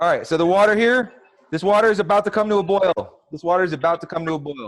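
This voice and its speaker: A man with an American accent speaks in an animated tone at a very fast pace, his high-pitched voice showing ordinary pitch variation. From US East Coast. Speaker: chef. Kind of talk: cooking tutorial. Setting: video call.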